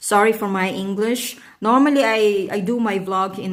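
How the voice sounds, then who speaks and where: With a Filipino accent, a woman speaks very slowly at a fairly high pitch and with fairly even intonation, in a room with audible echo. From Philippines. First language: Tagalog. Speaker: vlogger. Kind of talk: casual vlog talk. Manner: halting, many fillers.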